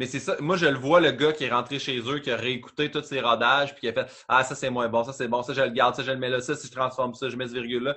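The speech comes in a Quebec accent at a very fast pace with hardly any pauses. Its intonation stays flat and monotone. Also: man, medium pitch for a man. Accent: Québécois French. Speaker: comedian. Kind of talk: casual chat.

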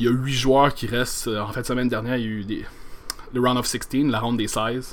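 At a moderate pace, a man talks in a medium pitch. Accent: Quebec. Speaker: podcast host. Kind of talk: solo podcast monologue. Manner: halting, many repetitions and fillers.

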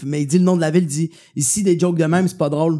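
Very fast speech from a man with a Quebec accent, dark and mellow in tone, fairly high in pitch, with fairly even intonation, on a very clean recording with a silent background. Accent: Québécois French. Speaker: comedian. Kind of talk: casual chat.

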